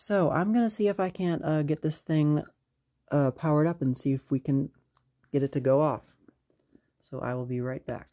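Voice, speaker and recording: Against a quiet background, a man talks at a moderate pace in a dark, mellow tone, with ordinary pitch variation and long, frequent pauses. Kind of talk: casual show-and-tell commentary. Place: home room. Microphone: phone near.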